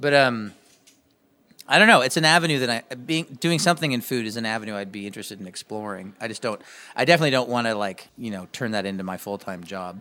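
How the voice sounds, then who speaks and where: Very fast and lively in intonation, a man speaks at medium pitch with big swings in loudness. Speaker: musician and podcast host. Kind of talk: casual interview.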